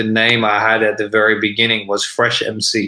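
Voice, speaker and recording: Talking at a fairly slow pace, a man with an Australian accent has a medium pitch and a bright, sharp tone. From Sydney, Australia. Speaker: rapper. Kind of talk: casual interview chat. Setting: video call.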